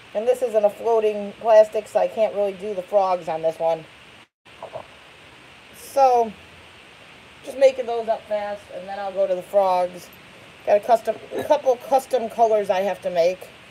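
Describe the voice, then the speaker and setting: With light background noise, a woman speaks in a dark, mellow tone at a moderate pace, with big swings in loudness, long, frequent pauses and ordinary pitch variation. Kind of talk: casual live stream chat. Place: workshop. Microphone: phone near.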